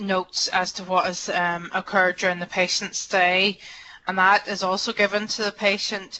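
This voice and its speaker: In a Northern Irish accent, a woman speaks at a moderate pace and medium pitch. Her intonation is flat and monotone. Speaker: hospital clinician presenter. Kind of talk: webinar Q&A answer. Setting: webinar. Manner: hesitant.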